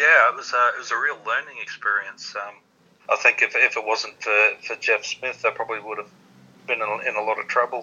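A man with an Australian accent, fairly quick in pace, with big swings in loudness. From Australia (Queensland). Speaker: darts player. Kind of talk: interview. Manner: halting.

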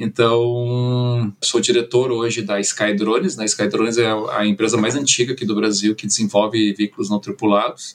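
Against noticeable background noise, a man talks at a moderate pace and medium pitch, with fairly even intonation and hardly any pauses. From Brazil, moved from Germany at age nine. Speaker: drone company director. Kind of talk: interview.

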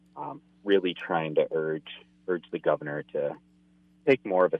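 A man speaking at a moderate pace. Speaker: hunting association director. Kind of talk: casual interview chat.

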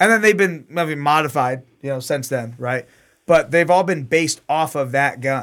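In an unremarkable speaking voice, a man with an American accent talks at a moderate pace, his pitch fairly high with ordinary variation. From US. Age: 30s. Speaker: gunsmith. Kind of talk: casual chat; tutorial.

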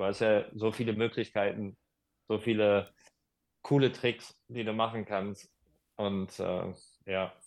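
Recorded very cleanly against a silent background, a man speaks at a very slow pace in a monotone, flat intonation, with long, frequent pauses. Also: fairly low pitch for a man. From Germany, Hagen (Ruhr area). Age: 40s. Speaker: skateboard instructor. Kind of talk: casual interview.

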